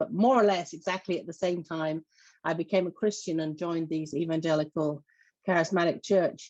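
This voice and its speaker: A woman with an English accent speaks at a fairly quick pace with a fairly low pitch and fairly even intonation against a quiet background. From southeast England. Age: 50s. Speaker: church organizer and lay minister. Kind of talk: panel testimony. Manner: halting, many fillers.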